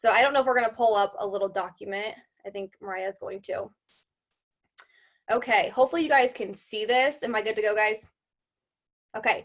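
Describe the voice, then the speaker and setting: Delivered at a fairly quick pace, the speech has an animated tone and ordinary pitch variation, broken by long, frequent pauses. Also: woman, fairly high pitch for a woman. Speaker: direct sales consultant. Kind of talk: testimony; sales pitch. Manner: fast.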